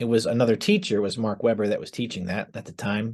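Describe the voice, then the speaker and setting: An American accent over a quiet background. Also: man. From northeastern Pennsylvania (Scranton). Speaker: former art student. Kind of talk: testimony.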